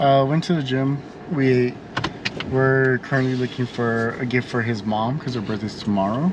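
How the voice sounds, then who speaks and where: Noticeable background noise sits behind a man's voice. He speaks at a moderate pace and medium pitch, with ordinary pitch variation. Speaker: travel vlogger. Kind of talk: casual vlog narration.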